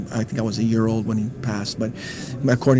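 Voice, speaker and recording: A man with a medium-pitched voice talks with fairly even intonation over noticeable background noise. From East Los Angeles. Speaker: percussionist. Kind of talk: interview.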